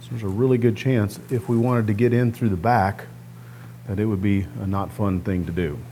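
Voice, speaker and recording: A man's fairly low voice has a dark, mellow tone and ordinary pitch variation. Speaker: guitar restorer, DIY video host. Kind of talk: tutorial. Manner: casual, conversational.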